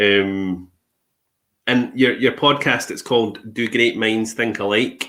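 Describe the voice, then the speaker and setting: With a Scottish accent, a man speaks at a very slow pace and a medium pitch. His tone is bright and sharp, and his intonation fairly even. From Scotland. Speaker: podcast host. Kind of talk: casual interview chat.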